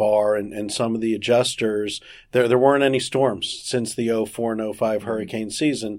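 In a plain, everyday voice, a man talks at an even tempo in a middle register. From South Florida. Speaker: insurance regulatory attorney. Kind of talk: interview.

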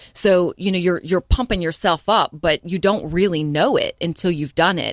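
A plain, everyday voice from a woman at medium pitch and moderate pace, with a dry, close sound with no echo and a very clean recording, silent background. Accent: American. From North Carolina, Hickory. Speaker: entrepreneur and podcast host. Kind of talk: radio interview. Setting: radio studio.

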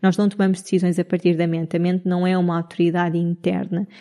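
A woman's medium-pitched voice with a dark, mellow tone, in a Lisbon accent, at a fairly quick pace. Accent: European Portuguese, Lisbon. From Portugal, Lisbon area (Cascais). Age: 30s. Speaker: podcast host, human design coach. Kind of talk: casual solo monologue.

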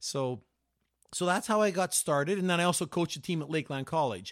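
In a Canadian accent, a man talks in an ordinary speaking voice, fairly high and fairly quick, with lively intonation on a very clean recording with a silent background. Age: 60s. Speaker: cross-country ski coach. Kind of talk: casual chat.

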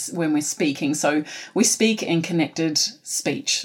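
A woman with a New Zealand accent at a moderate pace. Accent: New Zealand (Kiwi). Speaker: teacher, phonics specialist. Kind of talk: Q&A interview.

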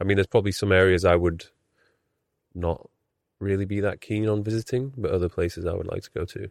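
A man speaks at a very fast pace in a fairly low pitch with fairly even intonation and long, frequent pauses, his sound dry and close with no echo on a very clean recording with a silent background. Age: 30s. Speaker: podcast host. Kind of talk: casual interview.

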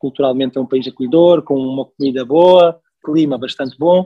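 Dry and close with no echo, a man's fairly high voice moves at a moderate pace with ordinary pitch variation. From Mozambique (Maputo). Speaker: logistics professional. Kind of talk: casual interview. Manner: hesitant, repeats words.

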